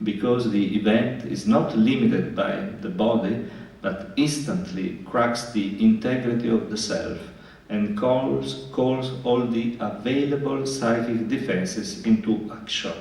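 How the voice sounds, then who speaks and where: Amid noticeable background noise and audible room echo, a man with a medium-pitched voice speaks fairly slowly with lively intonation. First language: Italian. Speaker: psychoanalyst. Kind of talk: lecture. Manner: halting, many fillers and repetitions.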